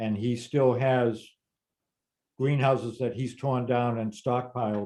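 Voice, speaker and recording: Speaking at a fairly slow pace with fairly even intonation, a man with an American accent and a medium pitch has a dark, mellow tone over a quiet background. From Massachusetts, Lexington area; Massachusetts. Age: 70s. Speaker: gardening expert, former greenhouse grower; interviewee. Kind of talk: casual Q&A conversation. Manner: halting, repeats words. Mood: thoughtful, recalling. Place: home room. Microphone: webcam.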